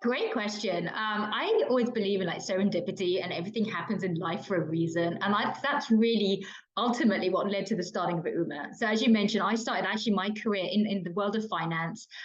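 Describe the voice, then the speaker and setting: With a British accent and a medium pitch, a woman talks at a very fast pace with hardly any pauses and ordinary pitch variation, amid audible room echo and noticeable background noise. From London, England. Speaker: diversity and inclusion consultant and author. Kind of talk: podcast interview. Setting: kitchen.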